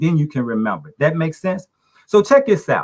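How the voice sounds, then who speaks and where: Quick and high-pitched, a man talks at a fairly fast pace. His pitch swings very widely. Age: 60s. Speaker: talk show panelist. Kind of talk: casual discussion.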